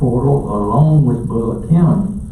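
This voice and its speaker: A man with a Southern US accent talks at a very slow pace and medium pitch. Audible room echo and noticeable background noise surround his voice. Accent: Southern US (Georgia). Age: 70s. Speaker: county commission chairman. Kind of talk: public meeting chairing. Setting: meeting room.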